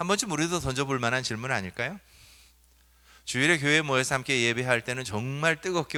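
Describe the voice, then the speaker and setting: Bright and sharp in tone, a man with a medium pitch speaks with lively intonation in a very clean recording with a silent background. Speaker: pastor. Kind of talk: sermon. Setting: church. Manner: conversational, asks congregation questions.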